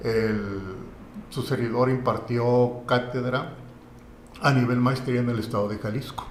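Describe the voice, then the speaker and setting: A man speaks at a fairly slow pace in a monotone, flat intonation with long, frequent pauses. Room echo is audible. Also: medium pitch for a man. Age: 60s. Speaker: lawyer and university lecturer. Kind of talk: podcast interview.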